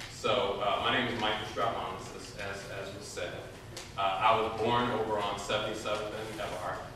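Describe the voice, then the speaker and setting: A man with an American accent speaks at a fairly slow pace, his fairly low voice monotone and flat. Strong room echo and noticeable background noise surround him. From Chicago. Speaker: foundation executive. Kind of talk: community meeting talk and Q&A. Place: hall. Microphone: camera far.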